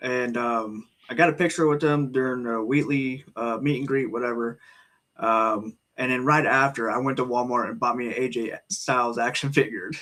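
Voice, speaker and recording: A man's bright, sharp tone carries fairly even intonation. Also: medium pitch for a man, moderate pace. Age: 20s. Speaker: wrestling podcast host. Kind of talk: casual chat.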